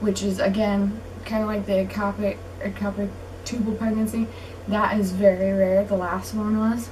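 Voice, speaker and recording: Monotone, flat speech at a moderate pace, with noticeable background noise and audible room echo. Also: woman, medium pitch for a woman. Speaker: vlogger. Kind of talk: casual vlog talk.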